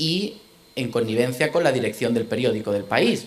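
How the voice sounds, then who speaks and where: A man's voice with lively intonation and audible room echo. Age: 30s. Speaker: lecturer. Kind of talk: lecture. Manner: hesitant, many fillers.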